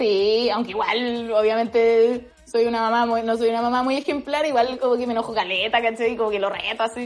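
Over music in the background, a woman with a Chilean accent speaks at a fairly quick pace with hardly any pauses, a fairly high pitch and monotone, flat intonation. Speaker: actress. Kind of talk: casual interview.

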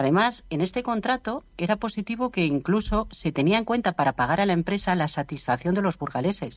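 Against a quiet background, a woman with a medium pitch talks at a fairly quick pace with hardly any pauses, very even loudness and very wide pitch swings. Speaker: local opposition politician and professor. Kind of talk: radio panel debate. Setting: remote connection from another city.

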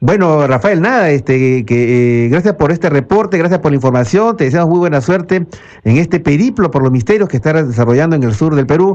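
A man with a normal speaking voice talks at a fairly quick pace, his fairly high pitch carrying lively intonation at very even loudness. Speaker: radio host, ufologist. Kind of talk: radio talk show. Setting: radio studio.

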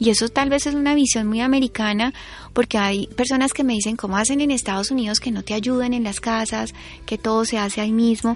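Woman at a fairly high pitch, fairly even intonation, fairly quick pace, noticeable background noise. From Colombia, Florencia (Caquetá). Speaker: author and columnist. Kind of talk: testimony in a radio interview.

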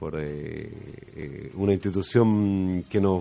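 A man has a plain, everyday voice. His pitch is fairly low, with ordinary pitch variation. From Chile, San Fernando area. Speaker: former footballer, club technical manager. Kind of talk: radio interview.

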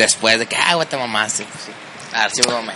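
Background noise is noticeable behind the man talking. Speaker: amateur baseball player. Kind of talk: casual chat. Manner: stutter when nervous.

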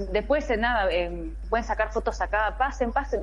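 Room echo is audible around a woman's voice. There is also a noticeable amount of background noise. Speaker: gaming fan group leader. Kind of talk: remote interview. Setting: remote call from a station in Japan.

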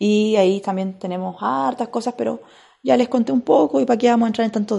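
The woman's tone is dark and mellow. She speaks at a fairly quick pace. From Chile, Biobío region. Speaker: podcaster. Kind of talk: casual monologue.

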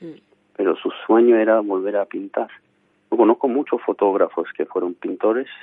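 A man talks at a moderate pace. His loudness swings widely from moment to moment. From Armenia. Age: 40s. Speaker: photographer and painter. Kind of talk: interview. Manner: halting.

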